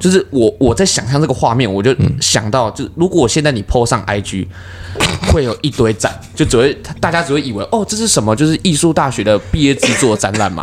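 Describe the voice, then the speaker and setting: Over noticeable background noise, a man of medium pitch talks at a fairly quick pace with very wide pitch swings. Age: 20s. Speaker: comedian. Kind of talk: casual chat.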